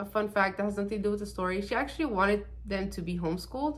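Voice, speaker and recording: A woman talks at a fairly quick pace and medium pitch, somewhat breathy. There is audible room echo. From Mexican-American, California. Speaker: true crime YouTuber. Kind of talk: casual true crime storytelling. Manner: casual, filler-heavy; nervous laughter.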